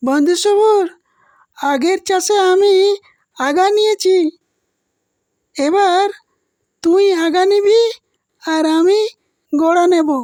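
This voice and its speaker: In a cartoonish character voice, a woman squeaks at an extremely high pitch and a very slow pace. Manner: naive, earnest.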